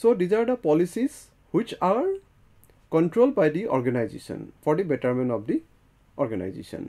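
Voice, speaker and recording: A fairly quick, high-pitched male voice with a dark, mellow tone, very wide pitch swings, and a quiet background. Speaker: lecturer. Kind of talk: lecture. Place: studio. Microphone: lapel.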